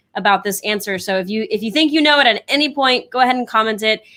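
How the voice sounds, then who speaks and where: A woman speaks with a fairly high pitch, a bright, sharp tone and ordinary pitch variation, recorded very cleanly against a silent background. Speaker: co-host of company live show. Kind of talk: live show segment hosting. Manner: fast.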